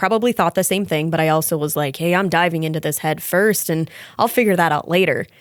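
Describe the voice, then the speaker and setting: The tone is bubbly, with an American accent, at a moderate pace. The recording is very clean with a silent background and a dry, close sound with no echo. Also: woman. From Wisconsin. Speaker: police officer. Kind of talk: podcast interview.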